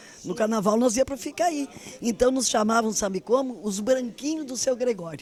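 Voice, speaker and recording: In an unremarkable speaking voice, a woman talks at a moderate pace with a fairly high pitch and lively intonation. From southern Brazil, Rio Grande do Sul. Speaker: former politician and activist. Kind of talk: interview.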